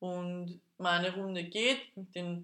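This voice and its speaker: This woman's voice has a bright, sharp tone. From Austria, Vienna. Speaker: podcast co-host. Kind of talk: casual chat.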